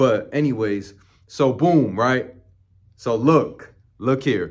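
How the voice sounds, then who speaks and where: This man has a medium pitch. He speaks at a very slow pace. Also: ordinary pitch variation. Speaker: dating coach YouTuber. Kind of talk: casual story time monologue. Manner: animated.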